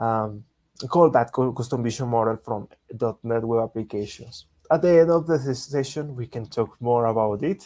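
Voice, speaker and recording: With a Spanish accent, a man speaks at a moderate pace in a dark, mellow tone. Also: medium pitch for a man, ordinary pitch variation. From Latin America. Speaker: software engineer, developer advocate. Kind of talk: webinar presentation.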